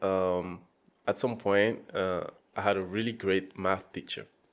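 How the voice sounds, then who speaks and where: A man talks at a fairly slow pace in a very clean recording with a silent background. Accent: French. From France. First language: French. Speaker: data scientist and coach. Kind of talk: podcast interview. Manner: hesitant, many fillers.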